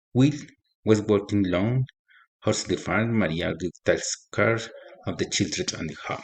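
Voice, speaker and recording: Taking long, frequent pauses, a man with a fairly low pitch talks at a fairly slow pace with ordinary pitch variation. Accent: Colombian. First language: Spanish. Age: 40s. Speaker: agronomy student. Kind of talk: reading aloud. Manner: halting.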